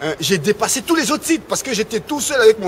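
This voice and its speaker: A man with an Ivorian accent talks at a very fast pace with lively intonation. Noticeable background noise runs behind him. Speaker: rap web reporter and radio pundit. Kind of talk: casual interview. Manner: halting, many fillers and repetitions.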